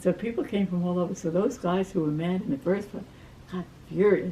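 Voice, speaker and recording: A woman's somewhat breathy voice at medium pitch with an American accent, fairly quick in pace and fairly even in intonation. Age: 80s+. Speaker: retired community volunteer. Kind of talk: life story interview. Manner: halting.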